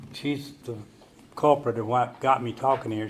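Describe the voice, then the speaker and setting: Medium-pitched male speech with a Southern US accent and fairly even intonation, plus audible room echo and noticeable background noise. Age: 70s. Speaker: recovery meeting speaker. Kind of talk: recovery testimony talk. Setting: stage with audience. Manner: halting, many fillers.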